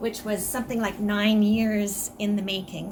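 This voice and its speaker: A soft-spoken woman talks at a moderate pace and medium pitch, with audible room echo and noticeable background noise. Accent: Canadian. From Canada. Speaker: author. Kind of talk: book talk presentation.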